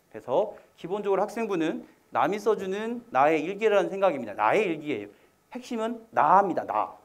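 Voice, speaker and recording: At a very fast pace, the speaker uses ordinary pitch variation, with audible room echo around the voice. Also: man. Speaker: college admissions consultant. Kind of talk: lecture. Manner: slurred diction.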